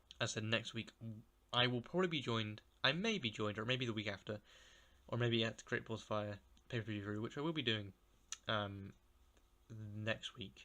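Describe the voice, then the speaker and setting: With a bright, sharp tone, a man talks at a fairly quick pace. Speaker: wrestling podcast host. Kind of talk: solo podcast review. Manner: monotone; halting, many restarts and stumbles.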